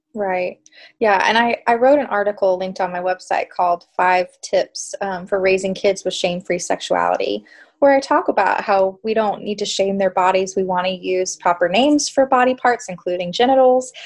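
The speaker has a plain, everyday voice, moving at a moderate pace with ordinary pitch variation. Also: woman, medium pitch for a woman. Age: 30s. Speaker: clinical psychologist. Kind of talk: interview.

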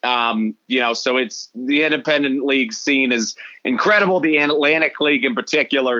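Here a man speaks with a fairly high pitch and ordinary pitch variation. He keeps a moderate pace. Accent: Midwestern American. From Des Moines, Iowa. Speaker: baseball broadcaster. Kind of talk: casual interview.

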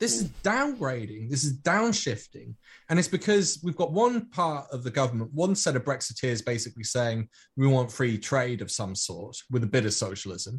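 Speaking with a British accent, a man at medium pitch talks at a moderate pace with lively intonation and a somewhat breathy voice, against a quiet background. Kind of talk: casual panel discussion.

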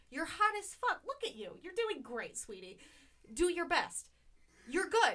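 A woman's raised, projected voice with an American accent, extremely high in pitch, bright and sharp in tone, animated, with very wide pitch swings, big swings in loudness and a fairly slow pace. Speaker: podcast co-host. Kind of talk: casual chat.

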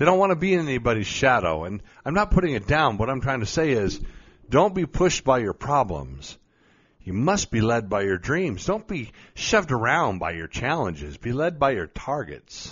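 At a moderate pace, a man with a medium pitch and vocal fry sounds animated, his pitch swinging very widely. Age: 50s. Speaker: podcast host, mindset coach. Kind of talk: motivational talk.

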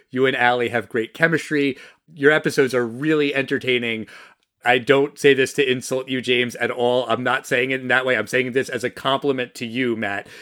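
The tone is bright and sharp, at a fairly quick pace. The recording is very clean with a silent background. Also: man. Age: 40s. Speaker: podcast co-host. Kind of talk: casual chat. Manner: animated.

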